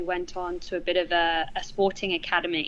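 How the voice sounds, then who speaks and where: Speaking at a fairly quick pace, a woman with a British accent has a bright, sharp tone. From England. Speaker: charity manager and former teacher. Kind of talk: interview conversation. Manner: frequent hesitations with um.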